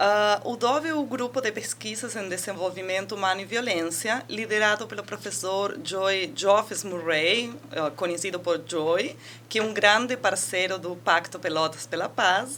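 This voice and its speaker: With an Argentine accent, the speech moves at a fairly slow pace with hardly any pauses and ordinary pitch variation, over noticeable background noise. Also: woman, medium pitch for a woman. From Argentina. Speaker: university researcher and professor. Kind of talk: interview.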